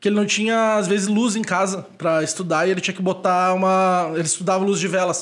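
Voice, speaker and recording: Very fast speech from a man, high in pitch and fairly even in intonation. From Brazil, Porto Alegre. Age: 30s. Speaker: nightlife event producer. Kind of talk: casual chat.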